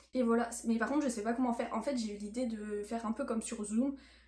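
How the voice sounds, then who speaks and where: Fairly high female voice set against clearly audible background noise. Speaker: student vlogger. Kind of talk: casual vlog talk. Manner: hesitant, many fillers.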